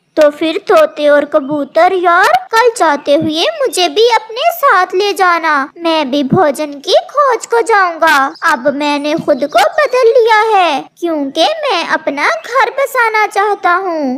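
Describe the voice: In a cartoonish character voice, a woman speaks at a fairly slow pace with an extremely high pitch.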